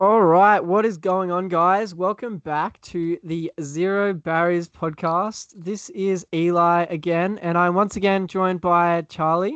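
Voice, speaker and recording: This man has a high pitch and an Australian accent, with fairly even intonation at a fairly slow pace. The sound is dry and close, with no echo. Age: 20s. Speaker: podcast host. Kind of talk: casual chat.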